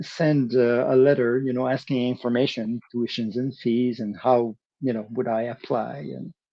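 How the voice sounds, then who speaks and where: A man in a Quebec accent, medium pitch, fairly slow pace. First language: French. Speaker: percussionist. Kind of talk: interview. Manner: halting, many fillers and restarts.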